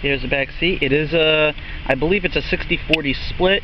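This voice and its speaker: A man talks with ordinary pitch variation in a dry sound with no echo. Noticeable background noise is present. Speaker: car salesperson. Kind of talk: product walk-around commentary. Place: street. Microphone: phone near.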